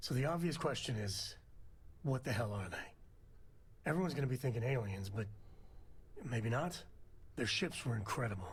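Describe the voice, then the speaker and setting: Using a put-on character voice, a man speaks at a moderate pace and medium pitch in a relaxed, raspy tone over clear background noise. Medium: video game. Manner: folksy, relaxed.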